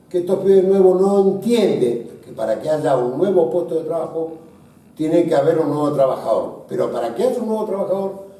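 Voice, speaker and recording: Amid noticeable background noise and audible room echo, a man with a high voice speaks at a moderate pace with lively intonation. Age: 60s. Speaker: business association leader. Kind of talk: panel discussion.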